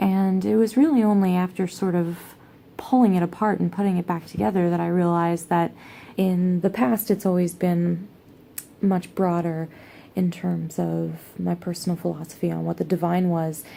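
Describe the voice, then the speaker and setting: A woman speaks at a moderate pace with a fairly low pitch and ordinary pitch variation. Her tone is dark and mellow, and her voice is quiet. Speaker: pagan vlogger. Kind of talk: casual vlog monologue. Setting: at home, sitting on the floor. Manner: quiet, low voice; hesitant, many fillers.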